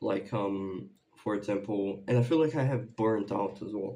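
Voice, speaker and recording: A man speaks with a dark, mellow tone. His pace is fairly slow, and his pitch varies in an ordinary way. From Brazil. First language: Portuguese. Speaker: YouTuber, music reaction creator. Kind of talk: casual vlog update. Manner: halting, many fillers.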